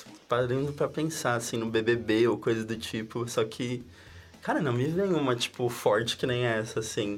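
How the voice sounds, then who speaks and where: A man at a medium pitch, fairly slow, with ordinary pitch variation. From São Paulo city, Brazil. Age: 20s. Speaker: university student, roundtable panelist. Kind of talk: casual roundtable chat. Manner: hesitant, repeats words.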